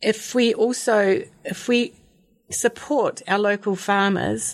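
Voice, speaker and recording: A woman speaks with a New Zealand accent and fairly even intonation. The recording is very clean, with a silent background. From Dunedin, New Zealand. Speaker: community garden coordinator. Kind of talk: radio interview.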